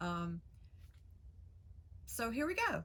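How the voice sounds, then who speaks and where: Noticeable background noise under a woman's voice. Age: 60s. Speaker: craft YouTuber. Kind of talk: casual vlog introduction. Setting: outside workshop. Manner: casual, hesitant with many fillers.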